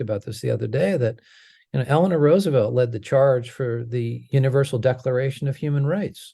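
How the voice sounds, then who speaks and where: A man speaks at a fairly quick pace with an American accent, at a medium pitch. His tone is dark and mellow, somewhat breathy, over a quiet background. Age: 60s. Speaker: healthcare advocate. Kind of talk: interview. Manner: halting, many fillers.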